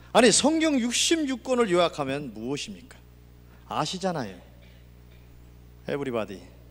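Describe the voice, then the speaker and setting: A man speaks with high pitch and very wide pitch swings. Long, frequent pauses break his speech, and audible room echo surrounds it. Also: moderate pace. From Gangwon Province, Korea. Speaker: pastor. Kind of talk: sermon.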